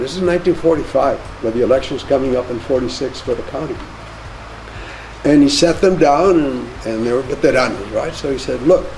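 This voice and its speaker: A man talks at a fairly quick pace, his pitch fairly high with ordinary variation. Audible room echo and noticeable background noise are present. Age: 80s+. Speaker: author and professor. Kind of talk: Q&A talk to audience.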